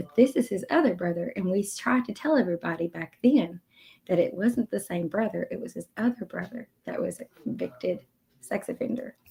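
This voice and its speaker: A quiet woman speaks fairly quickly at a fairly high pitch, with lively intonation and some vocal fry. Her tone is dark and mellow, and the sound is dry and close with no echo. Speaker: YouTube commentary streamer. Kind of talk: casual chat.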